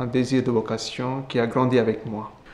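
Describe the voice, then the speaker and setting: This man's voice sits at a medium pitch. He speaks at a fairly slow pace. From India. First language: Indian language (speaking French). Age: 20s. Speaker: Capuchin friar. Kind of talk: testimony interview. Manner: halting.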